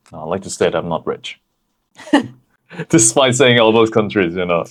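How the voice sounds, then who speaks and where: A man at a medium pitch with a Thai accent, at a moderate pace. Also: lively intonation, big swings in loudness. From Thailand. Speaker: podcast co-host, athlete and marketer. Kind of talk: casual chat.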